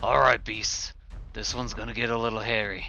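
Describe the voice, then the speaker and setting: A raspy, put-on character voice from a man at a fairly quick pace, with clear background noise. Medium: actual play.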